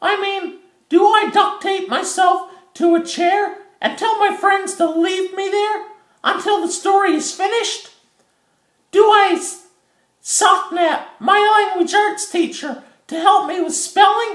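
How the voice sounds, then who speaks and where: A cartoonish character voice, squeaky and at an extremely high pitch, moves at a fairly slow pace. Long, frequent pauses break up the speech. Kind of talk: educational puppet monologue. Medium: puppet show. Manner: chatty, earnest, comic.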